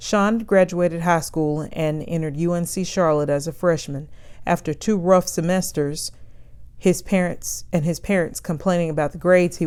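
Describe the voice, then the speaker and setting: A woman with a normal speaking voice talks at a moderate pace with fairly even intonation and a fairly low pitch. The recording is very clean, with a silent background. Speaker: novelist reading her own book. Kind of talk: novel read-aloud.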